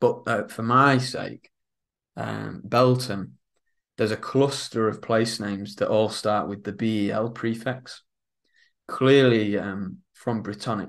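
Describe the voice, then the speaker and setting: With a Lincolnshire accent, a man talks at a very slow pace. His intonation stays fairly even. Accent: northern English (Lincolnshire). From northern England, Isle of Axholme, north Lincolnshire; northern England. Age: young. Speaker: author and historian; interviewee. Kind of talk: interview. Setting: studio, in person. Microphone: video call.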